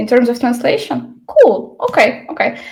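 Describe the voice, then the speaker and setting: A woman speaks with a non-native accent. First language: Ukrainian. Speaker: L&D trainer. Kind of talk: online workshop presentation. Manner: many fillers and hesitations.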